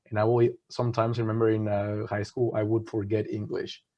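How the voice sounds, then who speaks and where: In a Spanish accent, a man talks at a fairly quick pace and fairly low pitch with monotone, flat intonation. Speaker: management consultant. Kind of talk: webinar panel talk. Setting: online webinar.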